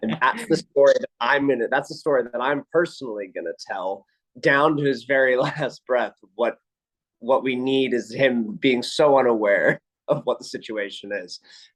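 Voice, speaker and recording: A man's ordinary speaking voice at medium pitch and moderate pace, with ordinary pitch variation and a dry, close sound with no echo. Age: 30s. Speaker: actor. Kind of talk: interview.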